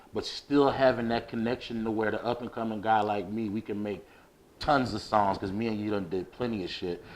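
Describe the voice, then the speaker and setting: A man with an American accent has an unremarkable speaking voice and talks at a moderate pace against a quiet background. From New Jersey (Asbury Park/Neptune area). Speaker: music producer. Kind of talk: casual podcast interview.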